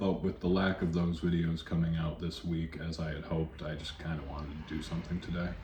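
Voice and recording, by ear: With an extremely low pitch and little pitch movement, a man talks at a fairly quick pace amid audible room echo.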